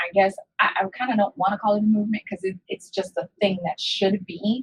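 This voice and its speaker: A woman with an American accent speaks at a medium pitch, somewhat breathy. The sound is dry and close, with no echo. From New York. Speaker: podcast host. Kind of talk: interview.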